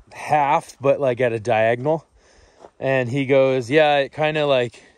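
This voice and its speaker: The sound is dry with no echo. A man speaks at a fairly slow pace. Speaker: off-grid camper vlogger. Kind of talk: casual vlog chat. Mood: relaxed, reflective, laughs. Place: open country. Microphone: phone near.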